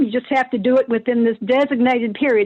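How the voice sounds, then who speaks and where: A woman speaks with a Kentucky accent and fairly even intonation. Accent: Kentucky twang. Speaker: nonprofit staff member. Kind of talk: casual podcast interview. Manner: halting, many fillers.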